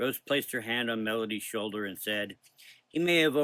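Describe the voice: The clip is plain reading aloud with a quiet background.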